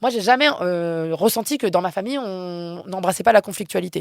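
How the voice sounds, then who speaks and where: In a dry, close sound with no echo, a woman speaks at a medium pitch with lively intonation. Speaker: philosophy researcher and activist. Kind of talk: interview conversation. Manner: loud.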